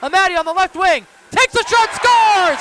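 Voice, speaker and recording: Over crowd noise in the background, a man speaks in a raised, projected voice. His pitch is extremely high, with ordinary variation, at a moderate pace. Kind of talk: live commentary. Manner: punchy, rising goal calls with catchphrases.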